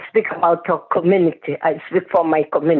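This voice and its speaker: Her intonation fairly even, a woman speaks with a strong non-native accent. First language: not English. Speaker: community speaker. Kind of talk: town hall testimony. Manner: halting.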